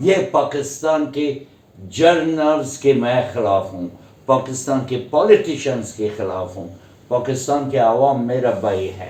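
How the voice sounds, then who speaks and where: An ordinary speaking voice from a man at medium pitch, with lively intonation and big swings in loudness. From Afghanistan. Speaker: Afghan guest who studied in India. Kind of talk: interview answer.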